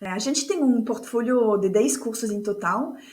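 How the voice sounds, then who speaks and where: Room echo can be heard around a woman's voice. She speaks at a moderate pace with a fairly high pitch. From France. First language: French (speaking Portuguese). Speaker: course facilitator and speaker. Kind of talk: podcast interview.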